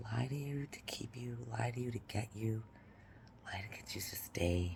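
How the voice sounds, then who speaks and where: Quietly, a woman speaks in a very deep, low pitch over noticeable background noise. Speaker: vlogger. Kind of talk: casual monologue. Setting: apartment at night.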